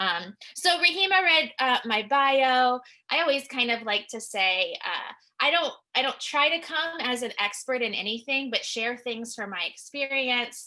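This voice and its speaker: The voice is loud, with a bright, sharp tone and lively intonation. Delivery comes at a fairly slow pace. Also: woman, high pitch for a woman. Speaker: licensed clinical social worker, counselor. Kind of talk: webinar presentation. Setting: online webinar.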